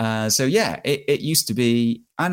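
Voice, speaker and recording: Recorded very cleanly against a silent background, a man with an English accent talks at a fairly slow pace. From England, countryside small town. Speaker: bike tourer and podcast host. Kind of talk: interview. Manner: hesitant, many fillers.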